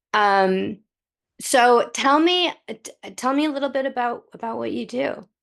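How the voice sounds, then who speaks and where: At a fairly slow pace, a woman with a high pitch speaks in a lively intonation. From US, London until age six. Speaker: podcast host. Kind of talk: podcast interview.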